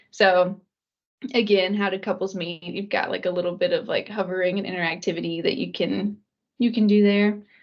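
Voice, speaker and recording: A woman talks at a moderate pace. Hers is a normal speaking voice at medium pitch. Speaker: data visualization analyst. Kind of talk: casual chat.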